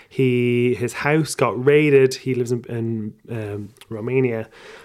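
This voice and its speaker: A man with an Irish accent speaks with ordinary pitch variation. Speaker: podcaster and comedian. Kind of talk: casual chat.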